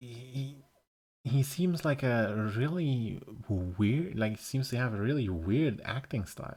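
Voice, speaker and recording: This man has a medium-pitched, somewhat breathy voice with a German accent. He speaks very slowly, with lively intonation. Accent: German accent, soft regional dialect flavour. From Germany. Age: 30s. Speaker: streamer. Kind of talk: casual chat. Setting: live stream on Discord.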